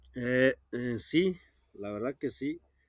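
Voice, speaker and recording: A man's voice, dry and close with no echo, in a very clean recording with a silent background. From Jalisco sierra, Mexico (Wixárika community). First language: Wixárika (speaking Spanish). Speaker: rural teacher. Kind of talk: interview. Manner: halting, many fillers.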